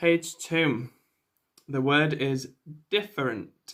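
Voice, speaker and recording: With a Mancunian accent, a man speaks very slowly in a fairly high voice with ordinary pitch variation. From northern England, Manchester. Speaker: English teacher. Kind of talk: online English lesson with story reading. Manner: slow, clear teacher delivery.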